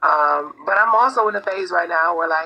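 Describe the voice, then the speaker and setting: A woman talks at a fairly slow pace with a fairly low pitch. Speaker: live stream guest. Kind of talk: casual chat. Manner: articulate, well spoken.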